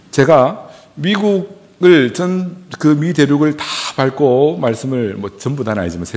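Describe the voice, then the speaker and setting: A man's pitch swings very widely while audible room echo and noticeable background noise fill the recording. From South Korea, Gyeongsang region. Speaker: pastor. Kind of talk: sermon.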